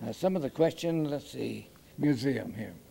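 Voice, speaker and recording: A man speaks fairly slowly at a medium pitch. Noticeable background noise runs under his voice. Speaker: interviewer. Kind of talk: interview filming with retakes. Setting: car museum floor, on camera. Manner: loud.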